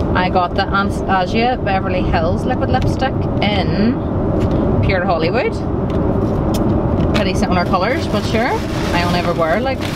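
At a moderate pace with long, frequent pauses, the dry, echo-free voice competes with loud background noise. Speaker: vlogger on honeymoon. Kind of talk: casual vlog chat. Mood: excited, chatty. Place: car.

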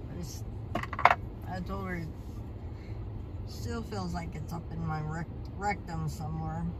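A man speaks with long, frequent pauses over loud background noise. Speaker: vlogger. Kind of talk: casual vlog chat. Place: car. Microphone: phone near.

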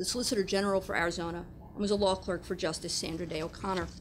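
Over light background noise, a woman with vocal fry talks at a very fast pace. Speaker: host introducing webinar speakers. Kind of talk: formal introduction read aloud. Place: meeting room. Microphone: podium.

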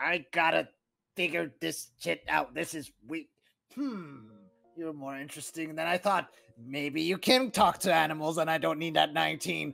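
At a moderate pace, a man with a fairly high pitch talks with long, frequent pauses. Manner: frantic, excitable.

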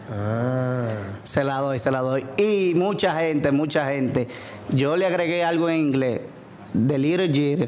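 A man with a Dominican accent speaks at a very slow pace and a fairly high pitch for a man. His loudness is very even, with light background noise behind him. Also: ordinary pitch variation. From Dominican Republic. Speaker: DJ. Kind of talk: casual interview. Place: studio. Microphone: studio mic.

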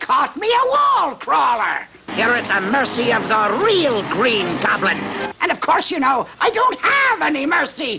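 A man is shouting in a put-on character voice. He keeps a moderate pace. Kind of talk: comic overacting. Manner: gloating, hammy, menacing.

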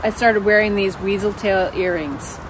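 A woman's voice sounds dry, with no echo. Noticeable background noise can be heard. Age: 50s. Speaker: outdoor vlogger. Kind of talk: casual vlog monologue. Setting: outdoors at a campfire. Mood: reflective, storytelling. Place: open country.

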